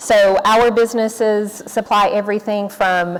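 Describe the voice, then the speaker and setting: A woman is speaking. She has a Tennessee accent. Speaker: corporate sustainability executive, panelist. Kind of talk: panel discussion remarks.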